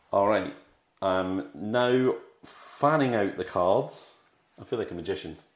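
On a very clean recording with a silent background, a man with a British accent speaks at a fairly slow pace with long, frequent pauses. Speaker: podcast host. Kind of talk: casual chat, movie review podcast.

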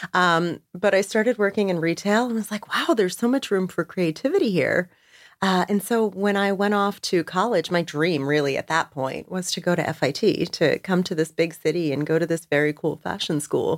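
A woman with a normal speaking voice talks at medium pitch and a moderate pace, with ordinary pitch variation and hardly any pauses, in a very clean recording with a silent background. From New Jersey. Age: 40s. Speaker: public speaker and community founder. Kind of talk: casual interview.

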